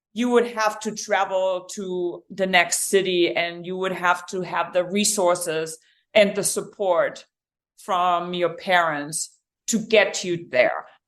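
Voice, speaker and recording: In a German accent, a woman of medium pitch speaks very slowly with fairly even intonation over a quiet background. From Germany, rural village. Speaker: endurance coach and triathlete. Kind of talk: podcast interview.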